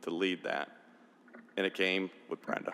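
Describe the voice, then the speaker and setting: Very deep and low in pitch, a man speaks with an American accent. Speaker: state senator. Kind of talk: farewell speech. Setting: legislative chamber podium.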